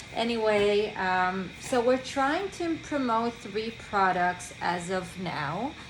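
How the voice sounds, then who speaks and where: In a room with audible echo, a woman with a non-native accent speaks at a very slow pace with ordinary pitch variation. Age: 30s. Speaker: medical esthetician. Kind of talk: product demonstration. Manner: halting, with fillers.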